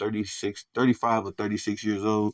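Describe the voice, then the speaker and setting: Against a quiet background, a man speaks in a fairly low voice with an American accent. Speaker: sports podcaster. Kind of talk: casual sports commentary. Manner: casual, conversational with fillers.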